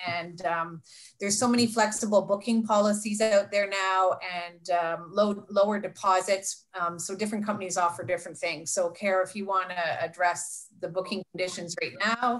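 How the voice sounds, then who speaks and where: In a normal speaking voice, a woman talks at a moderate pace with hardly any pauses, her medium pitch carrying fairly even intonation. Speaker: travel agent. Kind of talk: Q&A answers. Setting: video call. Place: home room. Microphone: webcam.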